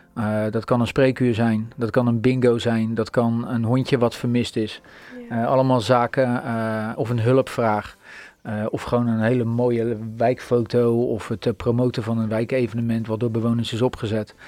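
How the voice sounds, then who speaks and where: Flat and monotone, a man's medium-pitched voice moves at a moderate pace. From Netherlands, Rotterdam. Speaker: founder of a neighbourhood platform. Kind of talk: radio interview.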